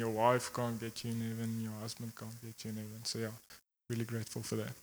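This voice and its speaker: A man speaks at a medium pitch. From South Africa, Secunda. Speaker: church member. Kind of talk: testimony.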